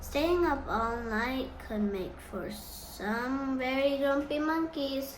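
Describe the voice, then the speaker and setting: In a put-on character voice, someone speaks at a very slow pace over clear background noise. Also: woman, high pitch for a woman. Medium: read story. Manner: warm, affectionate.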